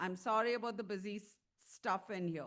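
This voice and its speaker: A woman speaks in an animated tone. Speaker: tobacco treatment clinician, conference speaker. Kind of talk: conference presentation. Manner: loud.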